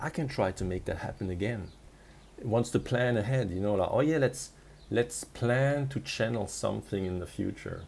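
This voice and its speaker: A somewhat breathy man with a non-native accent, medium pitch, lively intonation and a fairly quick pace. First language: not English. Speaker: spiritual coach. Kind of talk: casual monologue vlog. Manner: halting with frequent restarts.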